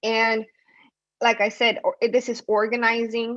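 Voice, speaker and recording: Against a quiet background, a woman with an unremarkable speaking voice and a fairly high pitch talks at a moderate pace. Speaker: community organizer. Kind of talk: panel presentation. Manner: many fillers and repetitions.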